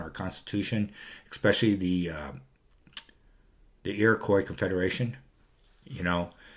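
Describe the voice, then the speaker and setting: Ordinary pitch variation marks a man talking at a fairly quick pace. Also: long, frequent pauses, big swings in loudness. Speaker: video blogger. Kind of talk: casual monologue. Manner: fast; halting, many fillers.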